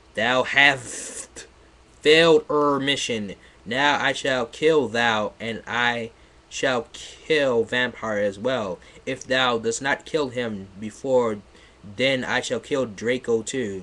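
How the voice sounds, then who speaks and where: In a raspy, put-on character voice, the speaker talks at a very slow pace with fairly even intonation. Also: man, medium pitch for a man. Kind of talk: archaic, thou/thee. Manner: heavy, menacing.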